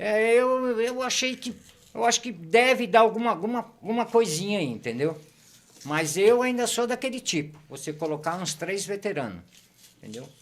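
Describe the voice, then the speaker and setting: Loudness swings widely as a man speaks at a high pitch and a moderate pace. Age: 60s. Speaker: football fan commentator. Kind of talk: casual chat. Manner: animated.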